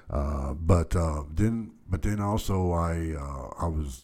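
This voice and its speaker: In an American accent, a man with a very deep, low pitch and a dark, mellow tone speaks very slowly, somewhat breathy, with ordinary pitch variation. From Texas, Dallas. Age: 50s. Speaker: podcast host. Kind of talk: casual monologue storytelling. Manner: hesitant, many fillers.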